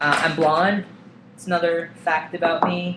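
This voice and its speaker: At a very slow pace, a man talks in a high voice with monotone, flat intonation. Noticeable background noise runs underneath. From eastern Russia. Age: 20s. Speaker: vlogger. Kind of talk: personal vlog. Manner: casual with many fillers.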